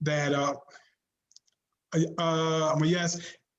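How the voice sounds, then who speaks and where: Speech comes at a very slow pace in a monotone, flat intonation, with audible room echo. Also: man. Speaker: author. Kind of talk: interview. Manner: halting.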